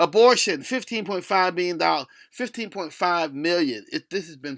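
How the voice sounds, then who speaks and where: A man's high-pitched voice with lively intonation on a very clean recording against a silent background. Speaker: video commentator. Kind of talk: opinion rant. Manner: halting.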